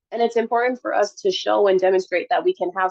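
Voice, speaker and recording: Using a plain, everyday voice with an American accent, a woman speaks at a fairly quick pace with lively intonation. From Detroit, Michigan. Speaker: clinical psychologist. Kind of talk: lecture.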